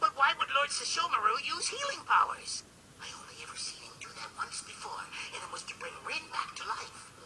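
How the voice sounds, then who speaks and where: A cartoonish character voice at an extremely high pitch swings very widely up and down. It moves at a fairly quick pace over light background noise. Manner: excitable, whiny.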